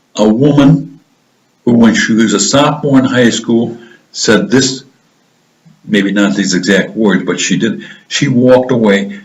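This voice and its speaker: Speaking at a fairly slow pace with long, frequent pauses, a man with a medium pitch uses lively intonation amid audible room echo. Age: old. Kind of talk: interview. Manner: slurring words; halting, repetitive.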